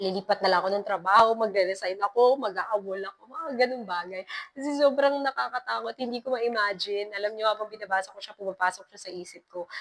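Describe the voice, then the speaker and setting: A woman with a medium pitch talks very fast with hardly any pauses, her loudness swinging widely while her pitch varies in an ordinary way. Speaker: horror story podcaster. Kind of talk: casual commentary after reading a horror letter. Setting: abandoned hospital floor. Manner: nervous, hesitant delivery.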